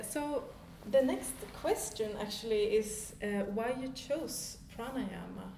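A woman with a Swedish accent, lively in intonation and very slow in pace, with audible room echo and noticeable background noise. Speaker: podcast host. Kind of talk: interview; podcast intro. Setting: yoga studio.

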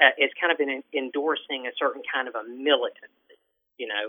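A man in a Southern US accent. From Alabama. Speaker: writer and software worker. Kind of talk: casual chat. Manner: halting.

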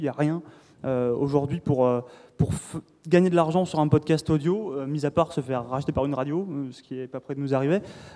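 Pitched fairly high, this man has a dark, mellow tone and speaks at a fairly quick pace with fairly even intonation. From southern France. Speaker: podcast host and games journalist. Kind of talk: panel discussion. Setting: stage with audience.

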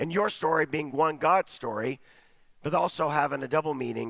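At a moderate pace, a man talks with vocal fry. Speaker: pastor. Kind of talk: sermon. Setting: church.

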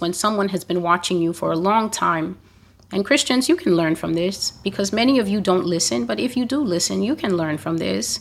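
A woman with an unremarkable speaking voice, medium in pitch, with lively intonation, on a very clean recording with a silent background. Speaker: prophecy blogger and preacher. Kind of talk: prophecy delivery, preaching. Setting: YouTube channel, solo recording. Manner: solemn, stern, declamatory.

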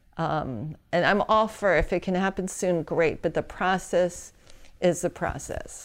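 With an American accent, a woman speaks at a fairly slow pace and a fairly low pitch, with ordinary pitch variation, in a plain, everyday voice. The recording is very clean, with a silent background. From New York. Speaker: entertainment consultant. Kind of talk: interview.

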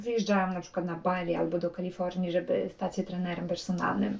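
At a fairly quick pace and medium pitch, a woman talks over noticeable background noise. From Poland. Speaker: travel blogger and podcaster. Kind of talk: casual monologue.

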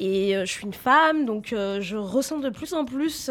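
In an unremarkable speaking voice, a woman with fairly high pitch speaks with lively intonation on a very clean recording with a silent background. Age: 30s. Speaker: radio co-host. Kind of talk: casual chat.

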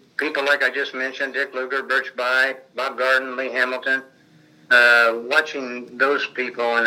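A man with a Midwestern US accent at a moderate pace, over noticeable background noise. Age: 70s. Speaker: retired state legislator. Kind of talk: oral history interview.

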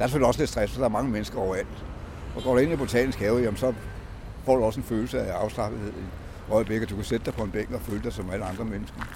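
The man's delivery is very fast. Long pauses break it up often. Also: medium pitch for a man, ordinary pitch variation. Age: 70s. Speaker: formerly homeless city walk guide. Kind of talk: guided walking tour talk. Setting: outdoors. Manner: halting.

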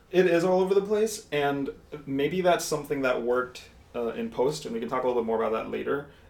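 Noticeable background noise sits behind a man who talks at a very fast pace in a fairly high pitch. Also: lively intonation. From Mexico. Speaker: interior designer, podcast guest. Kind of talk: casual chat. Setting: studio.

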